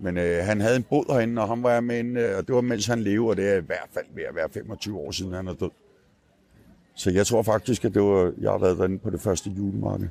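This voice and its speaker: A man's dark, mellow voice, fairly low in pitch, with ordinary pitch variation. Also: fairly quick pace. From rural Denmark. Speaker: street newspaper vendor. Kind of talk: casual interview. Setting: outdoors at a Christmas market. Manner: halting.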